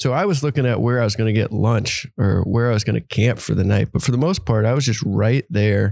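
With an unremarkable speaking voice, a man talks at a fairly quick pace in a medium pitch, with ordinary pitch variation and very even loudness, in a dry, close sound with no echo on a very clean recording with a silent background. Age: 30s. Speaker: former wildland firefighter and charity cyclist. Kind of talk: casual interview. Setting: recording at a live event venue.

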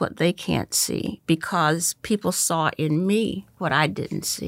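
A woman speaks in a fairly low voice with an American accent. Her vocal fry is audible, and her pitch varies in an ordinary way. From US South, North Carolina (Goldsboro). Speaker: university president. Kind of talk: interview conversation. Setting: video call.

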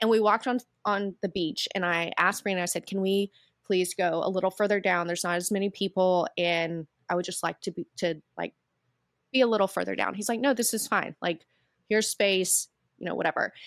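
A woman in a plain, everyday voice speaks at medium pitch and a fairly quick pace with fairly even intonation, on a very clean recording with a silent background. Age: 30s. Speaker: photography business owner and wellness retreat founder. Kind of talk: casual interview chat.

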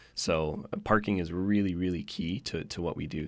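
A man with a Canadian accent speaks in a very deep, low pitch at a moderate pace. His intonation is fairly even, and the recording is very clean with a silent background. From Canada, Victoria BC. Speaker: car-sharing company manager. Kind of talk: interview.

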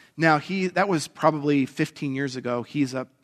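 An unremarkable speaking voice at a fairly quick pace, dry and close with no echo, against a quiet background. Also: man. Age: 40s. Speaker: pastor. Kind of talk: sermon.

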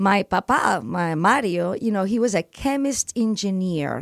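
Sounding dry and close with no echo, a woman speaks at a very slow pace. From Spain, Barcelona (Catalonia). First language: Spanish or Catalan. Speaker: farm owner and entrepreneur. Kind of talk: radio interview.

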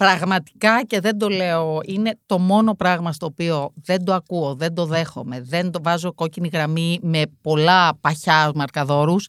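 A woman's plain, everyday voice, fairly low in pitch, with ordinary pitch variation and hardly any pauses, on a very clean recording with a silent background and a dry, close sound with no echo. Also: fairly slow pace. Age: 50s. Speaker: deputy mayor and former university lecturer. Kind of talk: casual chat.

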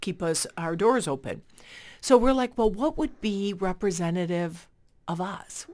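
In a very clean recording with a silent background, the speaker uses an American accent, lively intonation and a fairly slow pace. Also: woman, medium pitch for a woman. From Chicago. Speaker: nonprofit executive director. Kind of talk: radio interview.

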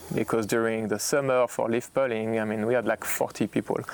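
A man with a French accent, medium in pitch, with monotone, flat intonation. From Burgundy, France. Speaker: winemaker. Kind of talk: oral history interview. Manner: halting, repeats words.

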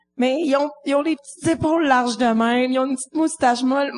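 A woman with a Quebec accent speaks in a high pitch with ordinary pitch variation. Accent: Québécois French. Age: 20s. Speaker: comedian. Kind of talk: casual chat. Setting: stage with audience.

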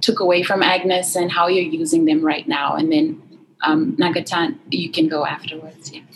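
A woman with a plain, everyday voice, medium in pitch, moderate in pace and lively in intonation. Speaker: student moderator. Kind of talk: panel moderation. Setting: online event with chat.

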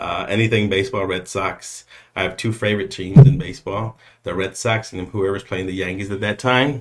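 A man in a normal speaking voice, fairly low-pitched and fairly quick, with ordinary pitch variation. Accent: American. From San Antonio, Texas (south side). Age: 40s. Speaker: communications specialist. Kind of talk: interview. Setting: studio.

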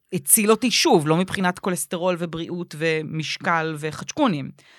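In a very clean recording with a silent background and a dry, close sound with no echo, a woman with an ordinary speaking voice and a fairly low pitch talks at a moderate pace with ordinary pitch variation. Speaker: podcast co-host, comedian. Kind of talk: casual chat.

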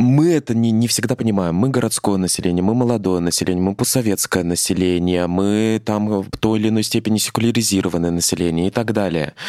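Talking at a very fast pace with hardly any pauses, a man keeps a very even loudness in a fairly low, dark, mellow voice with ordinary pitch variation. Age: young. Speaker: podcast host. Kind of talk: casual chat.

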